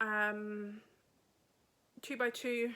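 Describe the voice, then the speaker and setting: A woman speaks in a southern English accent with a bright, sharp tone. Her intonation is monotone and flat. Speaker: podcaster and yarn dyer. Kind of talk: casual chat. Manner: chatty.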